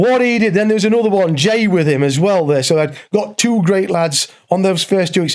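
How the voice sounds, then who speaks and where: The speaker has an East Midlands accent and a moderate pace. The intonation is lively. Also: man. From English East Midlands, Derbyshire/Nottinghamshire border. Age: 60s. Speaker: former prisoner telling his story. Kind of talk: interview testimony. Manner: animated.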